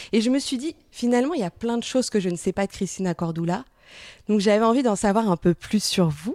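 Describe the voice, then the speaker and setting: Her tone is dark and mellow, and her intonation is lively. The woman's pitch is fairly high. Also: fairly quick pace, dry, close sound with no echo, very clean recording, silent background. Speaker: podcast host and journalist. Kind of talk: interview.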